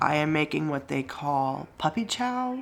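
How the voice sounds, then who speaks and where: Through noticeable background noise comes a woman's very deep, low-pitched voice. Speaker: family vlogger. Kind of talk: casual vlog talk.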